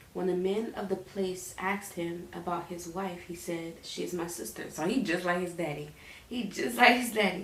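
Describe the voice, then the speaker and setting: A woman's fairly low voice at a moderate pace, with ordinary pitch variation, audible room echo and noticeable background noise. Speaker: Bible reading vlogger. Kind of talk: casual chat; reading aloud. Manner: halting, stutters and repeats while reading.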